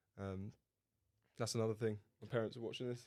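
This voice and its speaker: A man's medium-pitched voice in a southern English accent, flat and monotone, at a fairly quick pace. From southern England. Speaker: podcast co-host. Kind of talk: casual chat.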